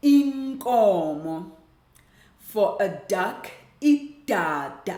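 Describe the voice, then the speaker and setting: In a South African accent, a woman talks at a very slow pace with very wide pitch swings, and audible room echo fills the recording. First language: Xhosa. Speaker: language teacher. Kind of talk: tutorial.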